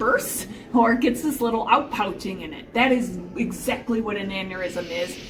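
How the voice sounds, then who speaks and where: Amid noticeable background noise and audible room echo, a woman with an American accent speaks at a fairly high pitch with ordinary pitch variation. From Chicago. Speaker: podcast host. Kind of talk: casual explanatory chat. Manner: fast; loud.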